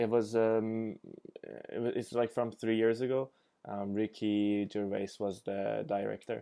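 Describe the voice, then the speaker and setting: A man's fairly low voice, monotone and flat, at a fairly slow pace. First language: not English. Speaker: reaction video creator. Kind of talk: casual commentary. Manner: hesitant, many fillers.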